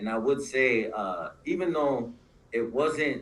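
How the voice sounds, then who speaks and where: A man with a fairly high pitch speaks in very wide pitch swings, and the room echo is audible. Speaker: former prisoner and prison rights advocate. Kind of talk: panel discussion. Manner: halting.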